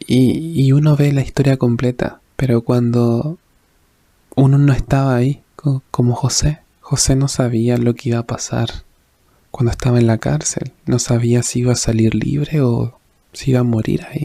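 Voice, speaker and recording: Soft-spoken, a man keeps his intonation fairly even. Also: medium pitch for a man, moderate pace. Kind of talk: devotional reflection / sermon-style talk.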